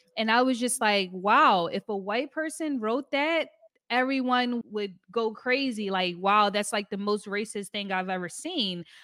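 Using an ordinary speaking voice, a woman with an American accent talks at a fairly slow pace in a fairly high pitch with ordinary pitch variation. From US, Philadelphia. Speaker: podcast host. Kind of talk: casual interview.

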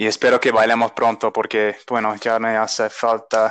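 With an English accent, a man speaks at a moderate pace and medium pitch. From United States. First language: English (speaking Spanish). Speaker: podcast host. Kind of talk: interview. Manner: halting.

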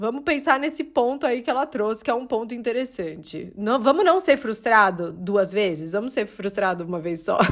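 Her voice fairly high, a woman speaks in an animated tone with very wide pitch swings. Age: 30s. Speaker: podcast host. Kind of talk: casual solo monologue.

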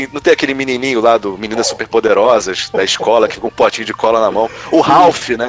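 A man rattles along at a very fast pace as noticeable background noise plays. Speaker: gaming youtuber. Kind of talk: casual chat.

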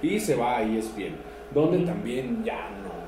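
A man with a Mexican accent speaks fairly slowly in a fairly high, animated voice. Audible room echo and noticeable background noise surround him. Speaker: podcast host. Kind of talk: casual chat.

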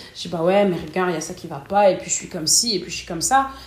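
A woman's medium-pitched voice is heard amid noticeable background noise and audible room echo. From northern France, Lille. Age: 20s. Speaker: customer service worker. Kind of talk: interview. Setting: at her home.

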